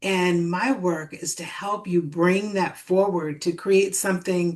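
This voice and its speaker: Over a quiet background, a woman speaks very slowly in a calm, soothing tone at a medium pitch. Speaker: spiritual coach. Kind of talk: live stream talk to audience.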